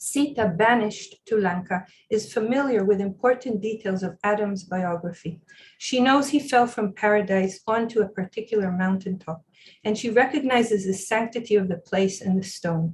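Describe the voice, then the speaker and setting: A woman talks at a moderate pace in a somewhat breathy voice of medium pitch, with ordinary pitch variation. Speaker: professor. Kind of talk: lecture. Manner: halting.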